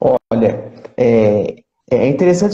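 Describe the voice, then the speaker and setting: A somewhat breathy man with a dark, mellow tone and an Alagoas accent. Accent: northeastern Brazilian (Alagoas). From Brazil, Alagoas (Maceió). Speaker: pastor. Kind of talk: interview.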